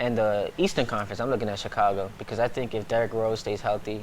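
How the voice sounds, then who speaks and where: Noticeable background noise fills the recording. Over it, a man speaks very fast. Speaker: sports broadcaster. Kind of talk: sports debate show talk.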